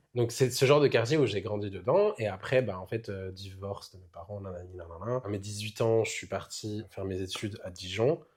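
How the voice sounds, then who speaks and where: On a very clean recording with a silent background, a man with a fairly low, somewhat breathy voice speaks with hardly any pauses, ordinary pitch variation and big swings in loudness. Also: moderate pace. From France, Burgundy (Saône-et-Loire). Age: 20s. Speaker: drag queen. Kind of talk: casual interview.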